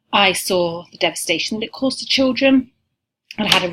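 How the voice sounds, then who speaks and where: Speaking with an English accent, a woman moves at a fairly quick pace with ordinary pitch variation. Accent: English accent, still noticeable. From England. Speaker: university lecturer. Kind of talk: recorded course welcome talk. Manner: frequent filler words, casual.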